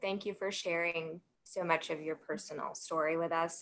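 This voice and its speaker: With a slight Southern US accent, a woman speaks at a fairly slow pace. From US South, Alabama. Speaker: sports marketing professional. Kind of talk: panel discussion.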